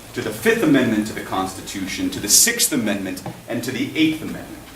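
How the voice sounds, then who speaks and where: Very wide pitch swings run through this man's speech. Audible room echo and noticeable background noise are present. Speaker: public defender and political science lecturer. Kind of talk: public talk. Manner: projecting, raised voice.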